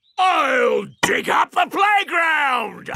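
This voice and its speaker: Someone shouts in a cartoonish character voice at an extremely high pitch. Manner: polite, hesitant.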